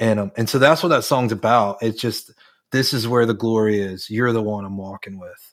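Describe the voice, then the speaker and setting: A man with an American accent speaks at a moderate pace in a normal speaking voice, his medium pitch carrying big swings in loudness, captured in a very clean recording with a silent background. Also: ordinary pitch variation. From North Carolina. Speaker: worship leader and songwriter. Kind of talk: casual interview.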